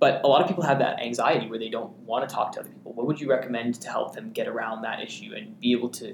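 Over noticeable background noise, a man talks very fast with hardly any pauses. His fairly high pitch swings very widely, and his loudness varies a lot. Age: young. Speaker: student podcast host. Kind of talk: casual chat.

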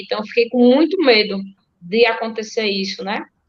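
The delivery is a normal speaking voice. It moves at a moderate pace with ordinary pitch variation. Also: woman. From Alagoas, Brazil (Delmiro Gouveia). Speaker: marathon runner. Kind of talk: interview. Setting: video call.

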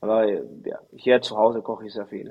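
A man with a Spanish accent speaks at medium pitch and a moderate pace, his intonation fairly even. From Chile. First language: Spanish (speaking German). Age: 30s. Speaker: volleyball player. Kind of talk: interview. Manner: halting.

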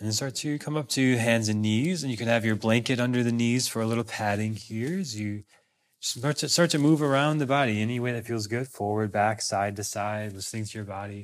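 A man speaks in a normal speaking voice at medium pitch and a fairly quick pace. Pitch variation is ordinary, and the recording is very clean with a silent background. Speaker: yoga teacher. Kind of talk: guided yoga class instruction.

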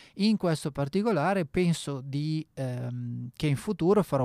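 At a moderate pace, a man with a fairly high pitch and a dark, mellow tone speaks with ordinary pitch variation, the sound dry and close with no echo and the recording very clean over a silent background. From northern Italy, Bergamo. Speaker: radio host and sommelier. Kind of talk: radio monologue. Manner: halting, many fillers.

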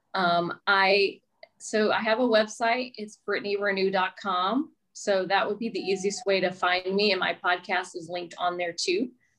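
In a plain, everyday voice, a woman with an American accent speaks at a moderate pace, her medium pitch held in fairly even intonation. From US South, Mobile, Alabama. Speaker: real estate agent and podcast host. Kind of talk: casual interview chat.

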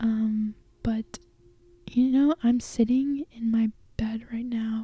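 Soft-spoken and very slow, a woman speaks at a fairly high pitch with a dark, mellow tone. Her intonation is flat and monotone, and the sound is dry and close with no echo. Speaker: solo podcaster. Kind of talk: casual personal monologue. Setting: sitting in bed at home. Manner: soft-spoken, talking quietly; filler-heavy, casual.

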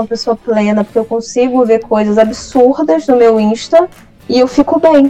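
With ordinary pitch variation, a woman's high-pitched voice carries through. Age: 20s. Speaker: writer and creative writing teacher. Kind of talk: casual interview.

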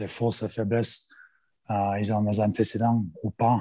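Fairly low in pitch, a man talks at a fairly slow pace in a monotone, flat intonation. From Australia. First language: English (speaking French). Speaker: rugby strength and conditioning coach, former player. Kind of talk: interview. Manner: halting.

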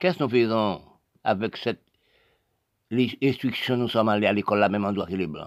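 A man talks with ordinary pitch variation, the recording very clean and the background silent. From Haiti. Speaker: political commentator. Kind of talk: monologue.

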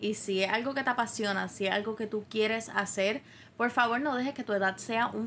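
A woman speaks at a fairly quick pace with a bright, sharp tone, fairly high pitch and fairly even intonation. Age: 20s. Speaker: podcast host. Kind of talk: solo monologue podcast.

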